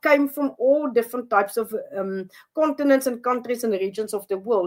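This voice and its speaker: A non-native accent at a fairly quick pace. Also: woman. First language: not English. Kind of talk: interview. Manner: halting.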